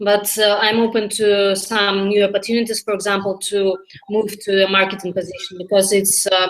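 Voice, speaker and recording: The woman's intonation is monotone and flat. Her loudness stays very even over noticeable background noise. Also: medium pitch for a woman, moderate pace. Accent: Russian. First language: Russian. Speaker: language learner. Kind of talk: mock job interview practice. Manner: halting.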